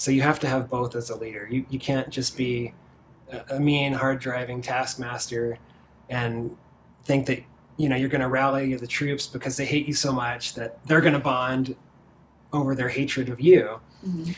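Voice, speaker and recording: A man speaks with monotone, flat intonation. His voice is somewhat breathy, with light background noise behind it. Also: moderate pace. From Virginia, US. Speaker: marketing executive; interviewee. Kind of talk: interview. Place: office. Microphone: lapel.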